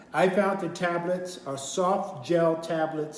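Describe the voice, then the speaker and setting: Noticeable background noise sits under this recording. A man speaks with fairly even intonation. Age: 70s. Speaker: minister. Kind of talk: product review talk to camera. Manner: casual, hesitant.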